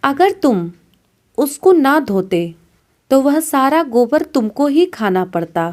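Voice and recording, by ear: In a put-on character voice, a woman speaks slowly at a high pitch with big pitch swings and a slightly mellow tone, on a very clean recording with a silent background.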